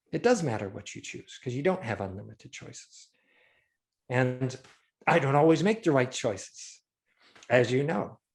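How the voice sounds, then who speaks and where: Somewhat breathy and medium in pitch, a man speaks at a moderate pace with lively intonation, big swings in loudness, and long, frequent pauses. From Scotland. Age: 60s. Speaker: illustrator and concept artist. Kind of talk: casual chat.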